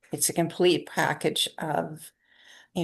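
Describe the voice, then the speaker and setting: Against a quiet background, a woman speaks at a fairly slow pace. Her voice is very deep and low, with vocal fry. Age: 60s. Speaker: yoga teacher. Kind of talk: interview.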